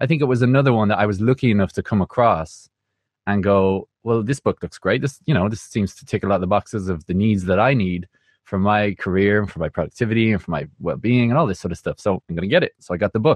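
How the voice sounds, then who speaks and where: A man's fairly low voice with an Irish accent, very fast, with ordinary pitch variation, dry and close with no echo, over a quiet background. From Ireland. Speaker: music producer. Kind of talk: casual interview.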